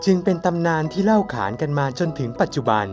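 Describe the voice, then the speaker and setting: Lively intonation from a man, with music in the background. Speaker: voice actor. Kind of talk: folk tale narration introducing a town.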